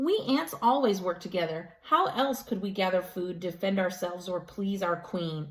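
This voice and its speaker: Using a put-on character voice at medium pitch, a woman speaks at a moderate pace with hardly any pauses. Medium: read story.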